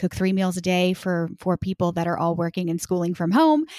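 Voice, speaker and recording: A plain, everyday voice: a woman with an American accent, medium pitch, fairly even intonation and moderate pace, dry and close with no echo, in a very clean recording with a silent background. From Texas. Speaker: business coach. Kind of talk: casual interview.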